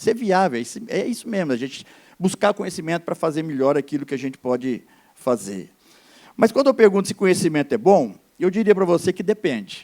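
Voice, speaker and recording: At a very fast pace, a man speaks in a high pitch with very wide pitch swings and a dark, mellow tone. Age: 60s. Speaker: pastor. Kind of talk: sermon.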